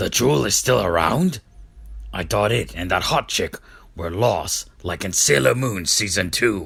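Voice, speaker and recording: A put-on character voice from a man, raspy and fairly low, with lively intonation at a moderate pace. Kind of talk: comic abridged parody. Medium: fan dub. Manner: smug, self-assured.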